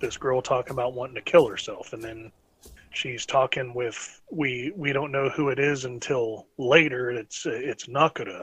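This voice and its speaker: A man with an American accent, a normal speaking voice, medium pitch, fairly even intonation and a moderate pace. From North Carolina. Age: 30s. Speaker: podcast host. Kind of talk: casual chat.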